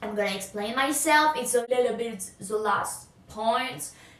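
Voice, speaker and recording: A woman's high voice at a fairly slow pace, with ordinary pitch variation and noticeable background noise. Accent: French. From France. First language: French. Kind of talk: casual talk to camera.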